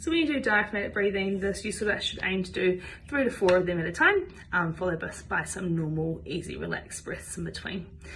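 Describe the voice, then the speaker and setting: A woman talks at a fairly quick pace with a New Zealand accent. Noticeable background noise sits behind her. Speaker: physiotherapist. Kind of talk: instructional health talk to camera.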